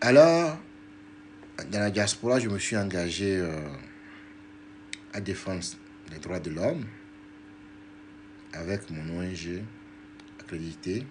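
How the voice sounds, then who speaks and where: In a room with audible echo, a man speaks at a very slow pace and fairly low pitch, with lively intonation, big swings in loudness, and long, frequent pauses. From Togo. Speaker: diaspora activist and politician. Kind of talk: political livestream talk. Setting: live video stream.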